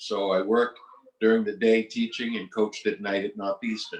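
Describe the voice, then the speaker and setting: A man's fairly low, monotone, flat voice with a Boston accent, at a moderate pace. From Massachusetts, Boston area. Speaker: retired basketball coach. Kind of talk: interview.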